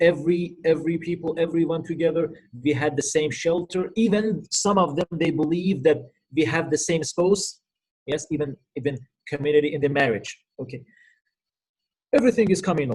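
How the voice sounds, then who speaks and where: At a fairly quick pace broken by long, frequent pauses, a man with a fairly high pitch talks with ordinary pitch variation. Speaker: Islamic lecturer, cleric. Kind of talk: lecture. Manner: fast.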